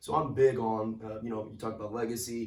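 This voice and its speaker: A man's voice carries audible room echo. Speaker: high school basketball coach. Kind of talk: interview. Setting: school locker room. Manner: casual, filler-heavy.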